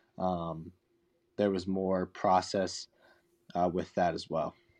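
The man's very deep, low voice is set against a quiet background. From rural Pennsylvania. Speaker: college baseball pitcher. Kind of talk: interview.

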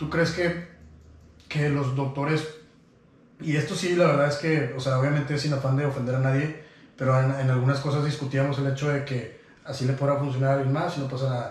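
The speaker has a Mexican accent and a monotone, flat intonation. Noticeable background noise and audible room echo fill the recording. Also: man, fairly high pitch for a man, fairly quick pace. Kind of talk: casual chat.

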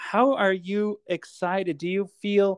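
A man's voice, dry and close with no echo, against a quiet background. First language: Cree. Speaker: podcast host and stand-up comedian. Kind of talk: casual chat.

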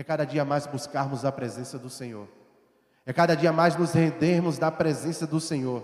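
This man has a plain, everyday voice with a fairly high pitch and fairly even intonation. He keeps a moderate pace, but his loudness swings a lot. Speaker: preacher. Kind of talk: sermon. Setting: church. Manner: rhetorical questions and fervent exhortation; earnest, urgent, pleading.

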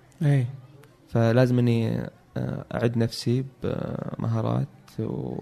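With music behind him, a man talks very slowly. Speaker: electrical engineer. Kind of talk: interview. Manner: halting.

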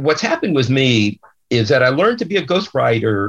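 Somewhat breathy, a man talks at a very fast pace with very wide pitch swings. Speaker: ghostwriter and author. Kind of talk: interview. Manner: talkative, open.

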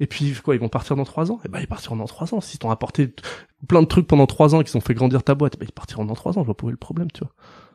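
At a very fast pace, a man with fairly high pitch speaks with lively intonation, recorded dry and close with no echo. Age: 30s. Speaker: recruitment firm founder. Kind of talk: casual interview. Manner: hesitant, filler-heavy.

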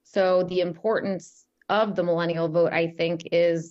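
In a plain, everyday voice, a woman talks at a fairly low pitch with an American accent. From New York, Long Island. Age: 30s. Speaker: political talk show host. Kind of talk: interview.

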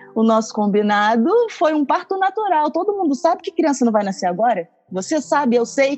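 A woman at a high pitch with very wide pitch swings, at a fairly quick pace. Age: 30s. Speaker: actress and astrologer. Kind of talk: casual chat.

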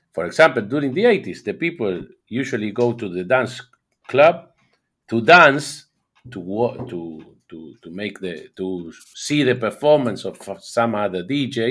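A man's medium-pitched voice with an Argentine accent, lively intonation, a moderate pace and long, frequent pauses, on a very clean recording with a silent background. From Argentina. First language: Spanish. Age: 50s. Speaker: DJ. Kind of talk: interview. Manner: halting.

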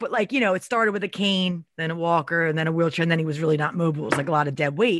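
A woman speaks with an American accent. She talks very fast. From Philadelphia area. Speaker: guest and co-host, human services worker.

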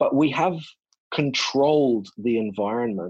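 A man's medium-pitched voice with an Australian accent and ordinary pitch variation, over a quiet background. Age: 40s. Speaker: naturopath and researcher. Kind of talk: interview. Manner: halting.

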